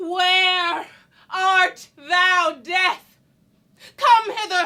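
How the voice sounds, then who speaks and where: A woman performs a put-on character voice at an extremely high pitch. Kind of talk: classical verse.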